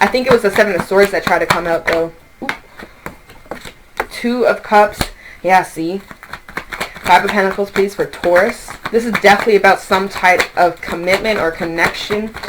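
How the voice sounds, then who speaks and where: A woman at medium pitch with fairly even intonation and long, frequent pauses, over noticeable background noise. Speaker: tarot reader. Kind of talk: tarot reading monologue. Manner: fast; loud.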